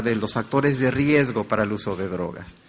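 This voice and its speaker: With a Mexican accent, the speaker uses lively intonation at a fairly slow pace. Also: man. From Mexico. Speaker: conference speaker. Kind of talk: lecture.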